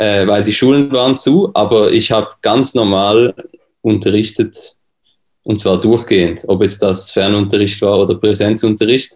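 A man talks at a moderate pace with a medium pitch and fairly even intonation. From Switzerland. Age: 20s. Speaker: pianist and music teacher. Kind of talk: casual interview.

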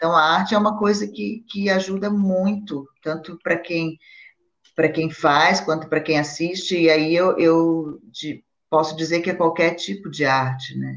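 Speaking at a fairly slow pace, a woman has a normal speaking voice, fairly low in pitch, with ordinary pitch variation. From Brazil. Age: 50s. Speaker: actress. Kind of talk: casual chat.

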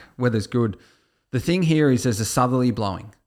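With an Australian accent and ordinary pitch variation, a man talks on a very clean recording with a silent background. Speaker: horse racing tipster podcast co-host. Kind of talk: casual chat. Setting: studio.

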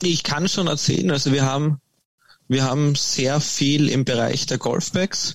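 An ordinary speaking voice from a man, fairly high in pitch, at a fairly slow pace with fairly even intonation. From Austria. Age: 20s. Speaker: golf company founder. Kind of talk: interview.

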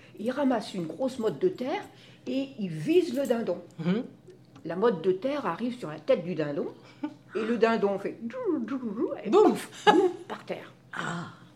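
A woman speaks at a fairly slow pace, her pitch swinging very widely and her loudness rising and falling sharply. She leaves long, frequent pauses over noticeable background noise. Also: fairly high pitch for a woman. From Brittany, France. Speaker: grandmother sharing memories. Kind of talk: casual group conversation.

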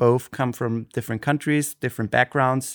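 In an Austrian accent, a man speaks at a medium pitch with fairly even intonation. The recording is very clean, its background silent. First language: Austrian German. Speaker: podcast co-host. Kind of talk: casual chat. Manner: halting, frequent fillers and restarts.

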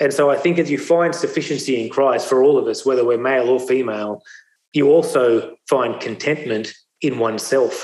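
With an Australian accent, a man speaks at a moderate pace and fairly high pitch. His pitch variation is ordinary and his loudness very even. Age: 40s. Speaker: speaker. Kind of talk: testimony.

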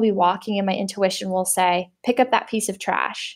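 This is a normal speaking voice from a woman in a Canadian accent, with a moderate pace and fairly even intonation. The recording is very clean, with a silent background. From Canada (Windsor, Ontario). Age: 20s. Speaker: entrepreneur. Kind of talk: interview. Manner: casual, many fillers and laughs.

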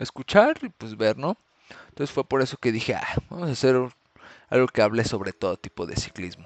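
Here a man speaks with a Mexican accent. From Mexico, Morelia (Michoacán). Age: 20s. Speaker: podcast host, amateur cyclist. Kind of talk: casual solo podcast monologue.

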